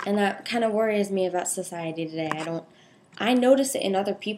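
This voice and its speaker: Words come at a fairly quick pace. A dark, mellow tone colors the voice. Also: woman. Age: young. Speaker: vlogger sharing personal story. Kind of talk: personal testimony vlog. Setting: speaking to camera. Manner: halting, self-correcting.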